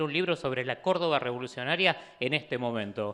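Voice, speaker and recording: Noticeable background noise sits behind this recording. A man talks with lively intonation. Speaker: author and political activist. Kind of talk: book presentation talk. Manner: fast; halting, many fillers and restarts.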